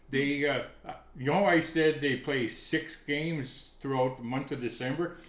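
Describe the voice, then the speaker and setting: Someone talks with a Canadian accent, and audible room echo surrounds the voice. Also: man. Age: 70s. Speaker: hockey writer and commentator. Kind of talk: casual chat.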